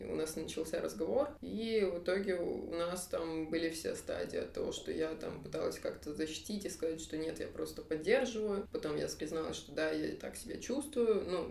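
A woman speaks at a moderate pace, with hardly any pauses. Noticeable background noise runs under her voice. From Kazakhstan, Almaty. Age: 20s. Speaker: web developer. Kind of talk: casual chat. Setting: studio, face to face.

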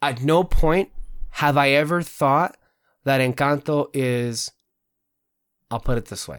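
A man with a Spanish accent talks at a fairly slow pace with fairly high pitch and ordinary pitch variation. His loudness swings widely, and he takes long, frequent pauses. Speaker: podcast host. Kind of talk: casual chat. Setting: video recording, online. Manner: frequent fillers and restarts.

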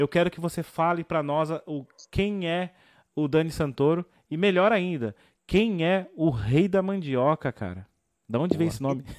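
In a very clean recording with a silent background and a dry, close sound with no echo, a man with a fairly high pitch and a normal speaking voice speaks at a moderate pace with ordinary pitch variation. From south zone of São Paulo. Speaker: podcast host. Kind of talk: casual chat.

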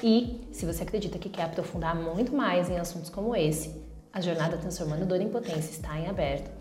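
Amid noticeable background noise and audible room echo, a woman speaks at a fairly quick pace and fairly low pitch with ordinary pitch variation. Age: 30s. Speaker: podcast host. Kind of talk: reflective monologue.

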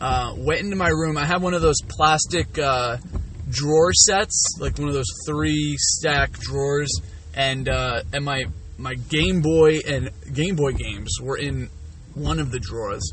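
Speaking with an American accent at a fairly slow pace, a man is heard with audible room echo and noticeable background noise. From New Jersey, Toms River. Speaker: podcast host. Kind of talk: casual monologue. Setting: in a car.

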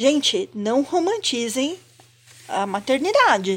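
This woman's voice is pitched high. Her pitch moves in very wide swings. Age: 50s. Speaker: podcast co-host. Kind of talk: casual chat.

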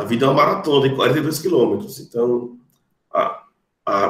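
At a fairly slow pace, the voice comes out somewhat breathy. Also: man. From Brazil, Rio Grande do Norte. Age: 30s. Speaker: lawyer. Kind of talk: podcast interview. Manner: formal.

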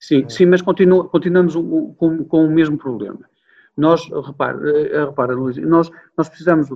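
Here a man speaks at a fairly high pitch and a fairly slow pace. His loudness swings widely, and he takes long, frequent pauses. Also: ordinary pitch variation. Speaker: hotel manager. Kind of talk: interview. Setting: video call. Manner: animated.

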